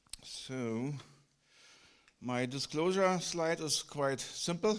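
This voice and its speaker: The voice carries a German accent. Its pitch varies in an ordinary way. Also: man. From Germany. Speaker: physician researcher. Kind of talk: conference lecture. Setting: conference hall. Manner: halting, with many fillers and repetitions.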